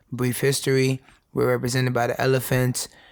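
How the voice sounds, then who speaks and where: New York accent from a man, at a fairly quick pace. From New York City, the Bronx. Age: 20s. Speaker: educator and speaker. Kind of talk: interview, personal life story. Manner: halting.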